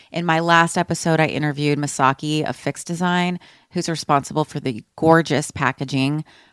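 In a very clean recording with a silent background and a dry, close sound with no echo, a woman speaks with an American accent. Her pitch is very deep and low, her pace moderate and her intonation fairly even. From Austin, Texas. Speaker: podcast host. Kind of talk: casual chat.

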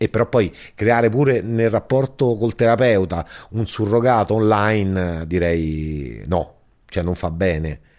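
A man with an unremarkable speaking voice talks at a fairly slow pace in a fairly low pitch, with ordinary pitch variation. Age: 40s. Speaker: stand-up comedian. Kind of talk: casual chat.

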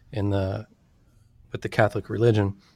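A man with a Californian accent speaks in a fairly low voice with monotone, flat intonation. The sound is dry and close, with no echo. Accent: Californian American English. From Sacramento, California. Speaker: anthropologist and author. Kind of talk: interview.

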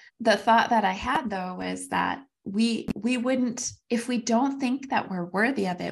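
Against a quiet background, a woman speaks with vocal fry and ordinary pitch variation. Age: 40s. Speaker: podcast co-host. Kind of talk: casual chat. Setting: call with co-host.

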